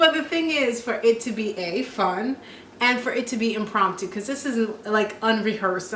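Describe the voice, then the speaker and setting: An animated, moderately paced voice with an American accent and ordinary pitch variation, amid noticeable background noise and audible room echo. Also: woman. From Jamaica (Trelawny parish). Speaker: vlogger and TV weather anchor. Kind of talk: casual chat.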